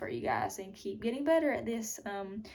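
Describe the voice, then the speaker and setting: Audible room echo around a medium-pitched woman's voice with ordinary pitch variation. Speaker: fitness vlogger, bikini competitor. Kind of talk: casual vlog talk to camera. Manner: casual, filler-heavy.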